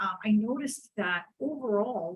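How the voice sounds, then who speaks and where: A woman's somewhat breathy, medium-pitched voice with an American accent. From New York. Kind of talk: moderated panel discussion. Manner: hesitant with many fillers.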